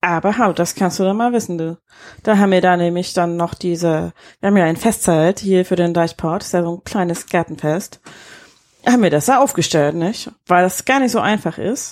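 In a very clean recording with a silent background, a woman has a plain, everyday voice, pitched fairly low with ordinary pitch variation. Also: moderate pace. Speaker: podcast co-host. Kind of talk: casual chat. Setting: holiday rental in Husum. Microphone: too far from the mic, quiet.

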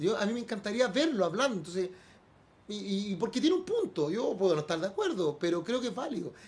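Very fast speech with lively intonation in a Chilean accent. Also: man, high pitch for a man. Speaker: radio host. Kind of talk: casual chat.

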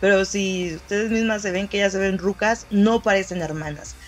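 Fairly even intonation and a moderate pace in a plain, everyday voice. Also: woman. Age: 20s. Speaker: podcast host. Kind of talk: casual monologue.

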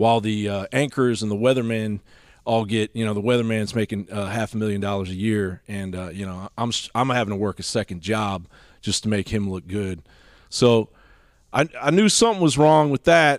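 In an American accent and an unremarkable speaking voice, the talker keeps a moderate pace and ordinary pitch variation, with a dry, close sound and no echo. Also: man, fairly low pitch for a man. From Washington DC and Eastern Kentucky. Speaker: political commentator, former musician. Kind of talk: casual interview.

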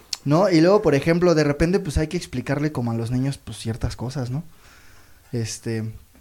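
Dark, mellow tone in a man's fairly high voice. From Mexico, Toluca. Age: 30s. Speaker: comedian. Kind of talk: stand-up. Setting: stage with audience.

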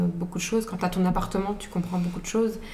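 A woman's monotone, flat delivery, with audible room echo and noticeable background noise. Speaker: podcast guest. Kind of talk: casual chat. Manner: soft-spoken.

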